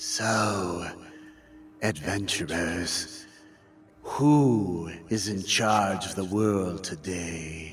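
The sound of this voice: A man uses a raspy, put-on character voice with a very deep, low pitch. He speaks at a very slow pace.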